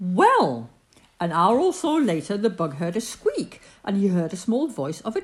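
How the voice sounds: The clip carries a natural reading voice. It is read the whole way through.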